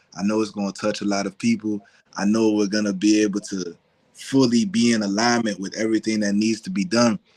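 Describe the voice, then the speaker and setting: With an American accent, a man speaks in a plain, everyday voice at a fairly low pitch. He talks at a fairly quick pace with fairly even intonation. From US, Virginia area. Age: young. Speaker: cultural anthropologist and genealogist. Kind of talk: casual chat.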